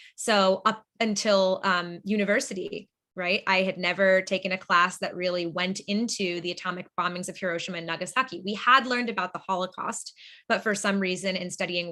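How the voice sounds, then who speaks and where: Against a quiet background, someone with an American accent talks at a fairly quick pace with hardly any pauses, a bright, sharp tone and fairly even intonation. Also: woman. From Boston, Massachusetts, US. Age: 20s. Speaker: nonprofit founder. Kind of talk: webinar presentation.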